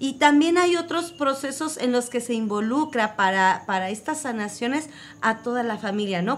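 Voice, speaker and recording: Slow-paced but only fairly so, a woman with an unremarkable speaking voice and fairly high pitch is heard on a very clean recording with a silent background. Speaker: community radio co-host. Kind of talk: radio magazine conversation.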